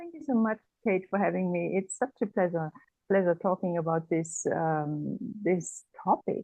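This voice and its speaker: A woman speaks at a fairly slow pace with a German accent. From Germany. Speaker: energy therapist. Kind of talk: interview conversation. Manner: hesitant, many fillers.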